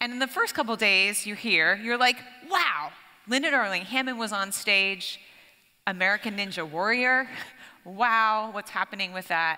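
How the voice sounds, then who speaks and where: With ordinary pitch variation, a woman speaks at a moderate speed. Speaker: keynote speaker. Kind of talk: keynote speech. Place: stage. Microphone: headset.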